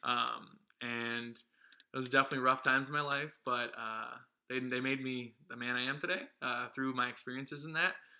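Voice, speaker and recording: In a Midwestern American accent, a man talks with monotone, flat intonation. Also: medium pitch for a man, fairly quick pace. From Ohio, US Midwest. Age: 20s. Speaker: vlog co-host. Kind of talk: casual chat. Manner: hesitant, many ums.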